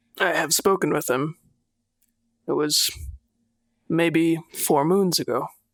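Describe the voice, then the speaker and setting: Putting on a raspy character voice, a man speaks high in pitch at a fairly slow pace, with long, frequent pauses. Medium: actual play.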